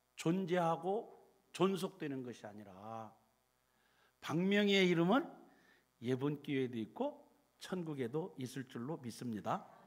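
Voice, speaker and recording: Pitch is high for this man, swinging very widely. He speaks at a very slow pace. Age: 70s. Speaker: retired pastor. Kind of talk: sermon. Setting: church.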